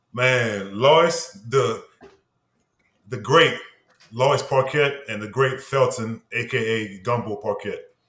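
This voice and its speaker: At a very slow pace with long, frequent pauses, a man speaks at medium pitch with ordinary pitch variation amid audible room echo. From Louisiana, Norco near New Orleans. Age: 40s. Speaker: former football player and minister. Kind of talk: casual interview.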